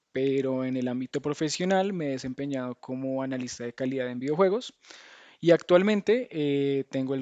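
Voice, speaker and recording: In a Colombian accent, a man with a fairly high pitch speaks at a moderate pace, the sound dry and close with no echo. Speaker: game tester, speaker. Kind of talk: lecture. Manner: hesitant, many fillers and restarts.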